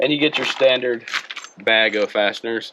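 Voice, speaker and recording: Speaking in a Mississippi accent at a moderate pace, a man comes through over noticeable background noise. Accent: US Southern (Mississippi). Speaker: car hobbyist YouTuber. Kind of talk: product review. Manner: casual, conversational.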